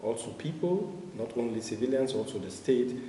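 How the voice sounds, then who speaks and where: In a room with audible echo and noticeable background noise, a man speaks at a fairly slow pace and medium pitch with lively intonation. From Nigeria. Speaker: refugee activist. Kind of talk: interview. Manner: hesitant, many filler sounds.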